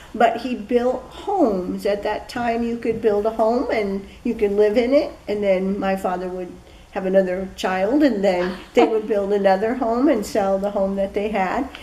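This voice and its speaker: Through audible room echo and noticeable background noise, a woman with an American accent talks at a moderate pace and medium pitch with ordinary pitch variation. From US Midwest, Peoria, Illinois. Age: 60s. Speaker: local history interviewee. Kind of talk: oral history interview.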